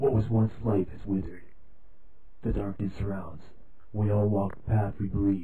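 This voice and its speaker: In a put-on character voice, a man speaks fairly low at a moderate pace with long, frequent pauses. Clear background noise runs underneath. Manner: solemn, dramatic.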